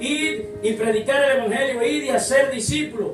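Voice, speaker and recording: Moderate-paced speech with music in the background. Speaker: pastor. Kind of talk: sermon.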